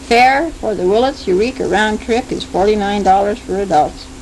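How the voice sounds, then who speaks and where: This woman talks at a moderate pace, her pitch medium with ordinary variation. Noticeable background noise sits behind her. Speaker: audio letter writer. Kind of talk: personal audio letter. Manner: loud; halting.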